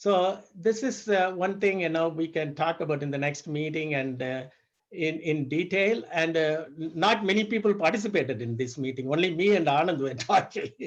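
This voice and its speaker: A man with a normal speaking voice talks at a moderate pace. His pitch is fairly high, with ordinary variation. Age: 60s. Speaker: fasting practitioner sharing experience. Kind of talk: group discussion.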